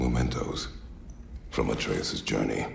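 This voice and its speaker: A man uses a cartoonish character voice at a very deep, low pitch and fairly slow pace, with clear background noise and a slight echo. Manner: terse, grave.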